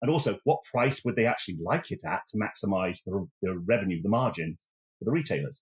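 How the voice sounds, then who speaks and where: A man with an English accent speaks at a fairly quick pace. Vocal fry runs through his voice. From England, Oxford. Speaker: technology executive. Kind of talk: podcast interview.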